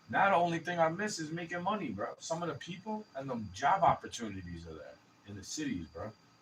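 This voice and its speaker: Talking at a very fast pace, a man shows big swings in loudness. Noticeable background noise can be heard. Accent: American. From New York City. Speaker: vlogger. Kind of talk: casual rant. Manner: mumbling.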